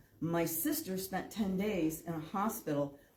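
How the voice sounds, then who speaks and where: Over noticeable background noise, a woman talks with lively intonation at a medium pitch. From northern Illinois, US Midwest. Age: 60s. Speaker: public commenter. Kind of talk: public comment at meeting.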